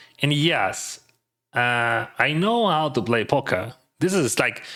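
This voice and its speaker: A man's voice comes through in a bright, sharp tone on a very clean recording with a silent background. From Ukraine. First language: Russian. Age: 40s. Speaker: poker streamer. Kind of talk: live stream commentary. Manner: halting, many fillers.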